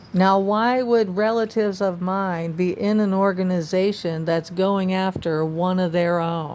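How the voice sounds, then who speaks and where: A woman with an American accent has an unremarkable speaking voice at a medium pitch. She talks at a fairly slow pace with fairly even intonation and hardly any pauses. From Florida (Tampa). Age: 60s. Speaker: vlogger. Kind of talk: personal testimony.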